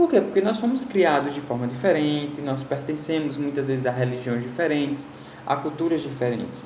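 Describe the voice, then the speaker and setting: A man with a fairly high pitch talks at a fairly quick pace with lively intonation. Noticeable background noise and audible room echo fill the recording. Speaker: school teacher. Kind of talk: recorded online lecture. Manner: conversational, with fillers and repetitions.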